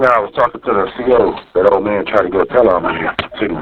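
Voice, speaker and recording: Noticeable background noise sits behind a man with a fairly low pitch. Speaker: jail inmate. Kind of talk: phone call. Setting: jail phone call. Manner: loud. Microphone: muffled jail phone line.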